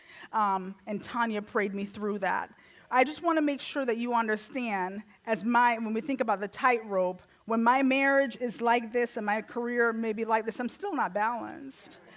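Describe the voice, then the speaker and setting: At a moderate pace, a woman with a Jamaican accent speaks at a fairly high pitch with ordinary pitch variation. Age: 40s. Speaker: guest speaker. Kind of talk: sermon.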